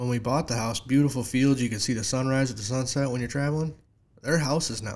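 A man with an upstate New York accent talks at a very fast pace. His pitch is medium and his intonation fairly even. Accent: upstate New York (Inland North). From upstate New York (near Syracuse, Lake Ontario). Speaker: local community organizer and graphic designer. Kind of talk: casual chat. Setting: studio.

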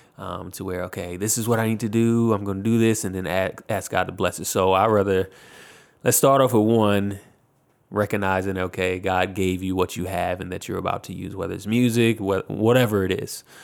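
A man with a fairly low pitch and fairly even intonation uses a normal speaking voice. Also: fairly quick pace, very clean recording, silent background. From Virginia, US. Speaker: music producer and recording artist. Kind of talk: interview. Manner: casual with frequent fillers.

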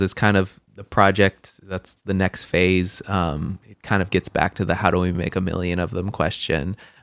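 A man with an American accent speaks at a very deep, low pitch and a moderate pace, on a very clean recording with a silent background and a dry, close sound with no echo. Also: hardly any pauses. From Washington State, US (Lynden). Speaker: chef. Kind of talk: casual interview.

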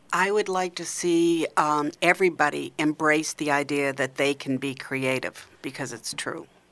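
A woman's very deep, low voice with a New England accent, at a moderate pace with ordinary pitch variation, on a very clean recording with a silent background. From Maine, US. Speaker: arts organization founder and sculptor. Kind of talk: casual radio interview.

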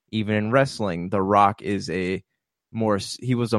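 Heard in a very clean, silent recording with a dry, close sound and no echo, a man with an unremarkable speaking voice talks at a moderate pace and fairly low pitch. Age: 30s. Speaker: podcast co-host. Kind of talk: casual chat.

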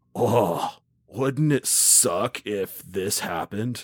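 A man puts on a raspy character voice at a medium pitch. He talks very slowly, with ordinary pitch variation. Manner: mocking, dismissive.

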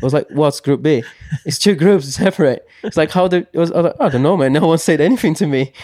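This man talks at a very fast pace, his pitch varying in an ordinary way. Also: fairly high pitch for a man. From Brazil. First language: Portuguese. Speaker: mountain bike racer. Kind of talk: interview. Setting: studio. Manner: halting, many fillers and repeats.

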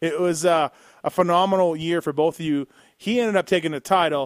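A plain, everyday voice at a moderate pace. The sound is dry and close with no echo, on a very clean recording with a silent background. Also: man. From Canada. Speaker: podcast host. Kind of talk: interview.

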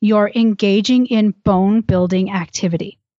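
Speaking at a fairly slow pace, a woman uses an ordinary speaking voice pitched fairly high. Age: 40s. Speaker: women's health app founder. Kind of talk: informative interview.

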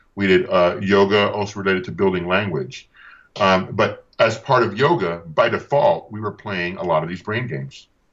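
Here a man talks at a moderate pace with ordinary pitch variation. His voice is fairly low in pitch. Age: 50s. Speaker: educator and musician. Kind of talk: interview. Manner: animated.

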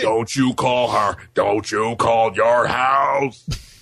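A man in a put-on character voice at medium pitch, with a very slow pace. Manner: barking, harsh, commanding.

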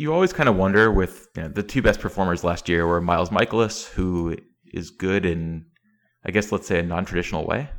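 A very deep, low-pitched man's voice at a fairly quick pace, on a very clean recording with a silent background. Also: ordinary pitch variation. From East Tennessee. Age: 30s. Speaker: baseball writer. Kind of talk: casual interview.

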